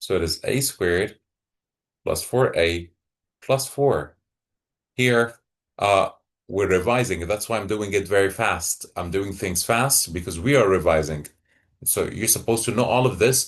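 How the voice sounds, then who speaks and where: A man speaks at a fairly slow pace with ordinary pitch variation, leaving long, frequent pauses. The background is quiet. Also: fairly low pitch for a man. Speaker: math teacher. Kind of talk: tutorial.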